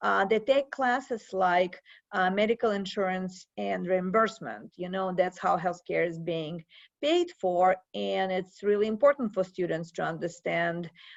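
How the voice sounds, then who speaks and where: A woman with a Russian accent speaks at a fairly slow pace. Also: medium pitch for a woman, ordinary pitch variation. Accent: Russian accent, persistent. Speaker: professor. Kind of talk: interview.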